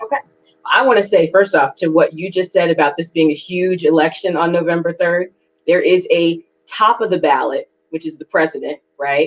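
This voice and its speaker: A woman with a fairly low pitch has a plain, everyday voice, an American accent, ordinary pitch variation and a moderate pace, recorded dry and close with no echo. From New York City. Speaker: political candidate. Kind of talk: interview.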